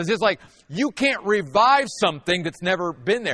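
In a raised, projected voice, a man speaks at a high pitch with very wide pitch swings and a bright, sharp tone. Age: 50s. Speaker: pastor. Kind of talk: sermon.

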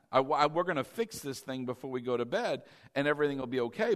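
Against a quiet background, a man talks at a fairly quick pace with a fairly high pitch and lively intonation. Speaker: pastor. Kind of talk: sermon. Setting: church. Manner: loud; animated.

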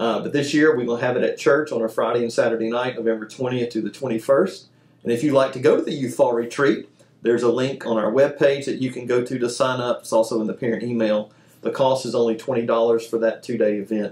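Talking at a very fast pace, a man with a Southern US accent keeps a medium pitch and fairly even intonation. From US South, Mobile, Alabama. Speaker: church youth minister. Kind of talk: testimony; casual chat.

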